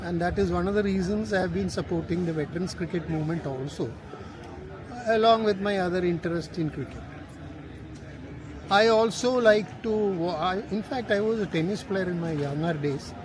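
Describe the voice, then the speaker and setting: Audible room echo surrounds a man's voice. He speaks at a high pitch with ordinary pitch variation. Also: moderate pace. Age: 70s. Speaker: veteran cricket supporter. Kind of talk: interview.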